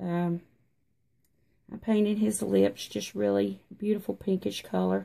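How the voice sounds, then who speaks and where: A woman talks at a very slow pace in a strong Tennessee accent. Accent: thick country accent (Tennessee). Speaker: reborn doll artist and vlogger. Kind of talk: casual vlog. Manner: hesitant, many fillers.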